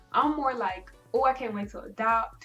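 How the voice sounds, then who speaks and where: At a moderate pace, a woman with an American accent and a fairly high pitch speaks over faint background music. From United States. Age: young. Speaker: beauty vlogger. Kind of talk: casual talk to camera. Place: home room. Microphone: camera far.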